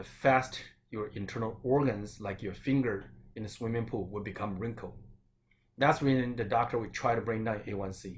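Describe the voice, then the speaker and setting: In a Chinese accent, a man with a medium pitch speaks at a moderate pace, somewhat breathy, with fairly even intonation and audible room echo. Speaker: acupuncturist and Chinese medicine doctor. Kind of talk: health talk.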